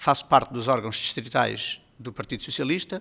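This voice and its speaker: A man talks at a fairly quick pace in a bright, sharp tone. His pitch is medium, with vocal fry. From Portugal, Mação (Médio Tejo). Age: 50s. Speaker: local politician, candidate. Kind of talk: political debate.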